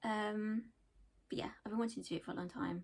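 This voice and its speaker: In an English Midlands accent, a woman speaks with a somewhat breathy, dark, mellow tone at a fairly high pitch. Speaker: knitting podcaster, accountant by day. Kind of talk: casual chat.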